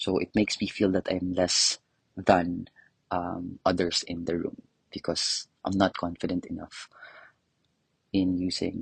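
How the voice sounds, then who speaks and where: A man speaks in a non-native accent at a fairly slow pace, leaving long, frequent pauses, and the sound is dry and close with no echo. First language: not English. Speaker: professor and adult English learner. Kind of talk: interview. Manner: hesitant, with fillers.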